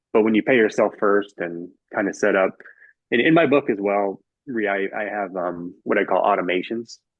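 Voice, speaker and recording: A man with an American accent speaks in a plain, everyday voice at a fairly low pitch. His pace is moderate and his pitch varies in an ordinary way. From California, San Francisco Bay Area. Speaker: author and finance guest. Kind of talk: podcast interview.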